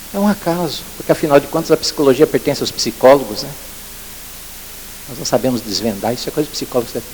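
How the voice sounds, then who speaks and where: A man's fairly high voice races at a very fast pace, his intonation lively, with noticeable noise in the background. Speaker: lecturer at education forum. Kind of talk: conference talk.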